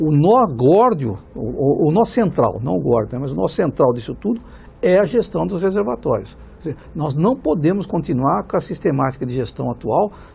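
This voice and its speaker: A man's fairly high, dark and mellow voice with vocal fry, very wide pitch swings and a fairly quick pace. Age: 60s. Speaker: economics professor. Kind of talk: TV panel debate. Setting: studio. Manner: halting, many fillers.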